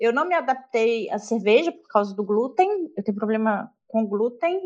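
Speaking at a fairly slow pace, a woman with a high pitch lets her voice swing very widely up and down. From rural Minas Gerais, Brazil. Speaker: literature teacher. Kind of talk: casual chat.

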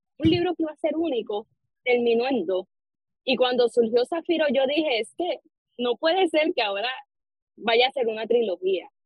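With very wide pitch swings, a woman talks at a moderate pace. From Puerto Rico, Arecibo. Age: 20s. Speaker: novelist. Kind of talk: interview.

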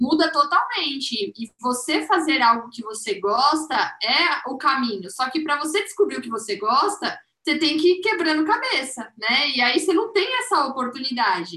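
A woman speaks with a raised, projected voice at a high pitch. Her pitch swings very widely, and she barely pauses. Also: moderate pace. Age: 20s. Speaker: business manager. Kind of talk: casual chat.

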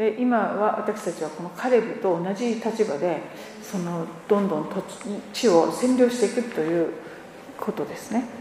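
A woman at medium pitch with ordinary pitch variation and a moderate pace, amid noticeable background noise and audible room echo. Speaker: church interpreter. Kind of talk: sermon interpretation.

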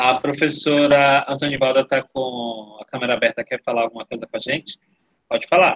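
A man's normal speaking voice, fairly high in pitch, at a fairly quick pace with fairly even intonation, dry and close with no echo. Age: 30s. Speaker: education official. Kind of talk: webinar Q&A.

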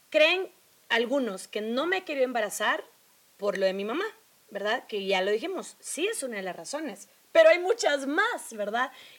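Her voice high-pitched, a woman speaks with very wide pitch swings over noticeable background noise. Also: moderate pace. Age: 30s. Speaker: podcast co-host. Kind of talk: casual chat.

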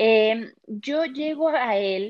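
Lively intonation marks this woman's fairly high voice. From Mexico City. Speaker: image consultant. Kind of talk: interview.

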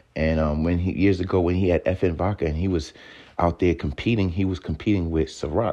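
Against a quiet background, a man talks at a fairly quick pace with a very deep, low pitch, a dark, mellow tone and very even loudness. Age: 30s. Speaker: podcast host and entrepreneur. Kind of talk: casual monologue. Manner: animated.

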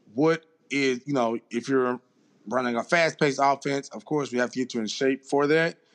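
A man at a moderate pace with fairly even intonation, in a dry, close sound with no echo and a quiet background. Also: medium pitch for a man. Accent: Southern US. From Mississippi, US South. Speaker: strength and conditioning coach. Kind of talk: casual interview.

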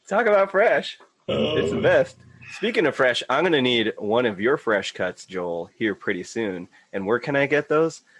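Speaking in an American accent at a moderate pace, a man has a medium pitch, vocal fry and very wide pitch swings. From US, Filipino and Mexican heritage. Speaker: podcast guest. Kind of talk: casual chat.

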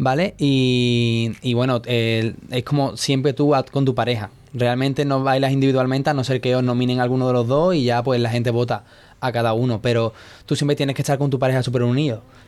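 This man's voice sits at a medium pitch with fairly even intonation. He keeps a fairly quick pace. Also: very even loudness. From Andalusia, Spain (Seville). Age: 20s. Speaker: dancer. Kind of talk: interview. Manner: hesitant.

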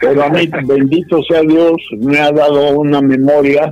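At a fairly slow pace, a man speaks with a fairly high pitch. His intonation stays monotone and flat. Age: 80s+. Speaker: bullfighting aficionado and cattle breeder. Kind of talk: casual interview. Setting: phone call.

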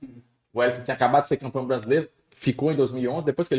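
Very fast and fairly even in intonation, a man's voice comes across with a dry, close sound and no echo. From Natal, Rio Grande do Norte, Brazil. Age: 30s. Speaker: sports commentator. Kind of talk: casual chat.

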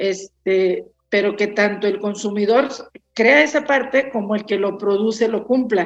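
A woman with an ordinary speaking voice at medium pitch, a fairly slow pace and ordinary pitch variation. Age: 60s. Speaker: winemaker. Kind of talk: casual interview chat.

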